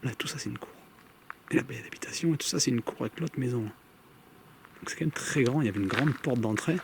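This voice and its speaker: A soft-spoken man talks at a very fast pace with medium pitch and ordinary pitch variation, broken by long, frequent pauses. Noticeable background noise is present. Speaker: paranormal investigator youtuber. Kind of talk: solo vlog narration. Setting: outdoors.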